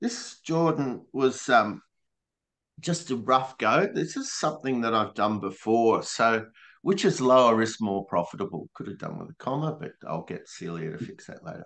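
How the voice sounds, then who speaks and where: A medium-pitched man with an Australian accent at a moderate pace, with very wide pitch swings and big swings in loudness. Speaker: regenerative grazing presenter. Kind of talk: webinar presentation.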